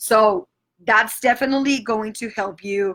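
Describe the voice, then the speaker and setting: A bright, sharp tone comes at a moderate pace with ordinary pitch variation on a very clean recording with a silent background. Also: woman. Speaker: triathlon coach. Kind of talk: podcast explanation of training sessions.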